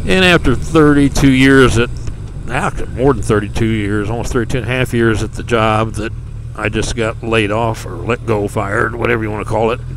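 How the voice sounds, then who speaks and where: A man with an American accent talks at a fairly quick pace, his medium pitch showing ordinary variation. Audible room echo and noticeable background noise surround him. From Colorado, Denver. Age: 60s. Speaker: motorcycle vlogger. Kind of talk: casual vlog monologue while riding. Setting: outdoors on a motorcycle. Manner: conversational, with hesitations.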